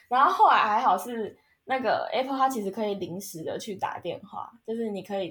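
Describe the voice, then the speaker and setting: A woman's fairly high-pitched voice at a moderate pace, an ordinary speaking voice. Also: lively intonation, big swings in loudness. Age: 20s. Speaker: podcast host. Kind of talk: casual chat.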